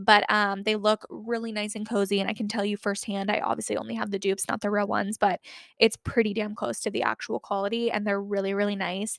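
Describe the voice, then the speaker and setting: Very fast and with hardly any pauses, a woman with an American accent speaks at a medium pitch in an animated tone. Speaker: podcast host. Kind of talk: casual chat. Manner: fast talker.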